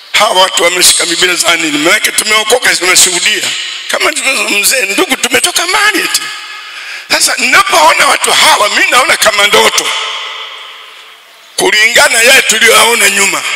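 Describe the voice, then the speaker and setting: A man speaks at a moderate pace with very wide pitch swings. Audible room echo is present. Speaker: preacher. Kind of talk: sermon. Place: church. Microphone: handheld.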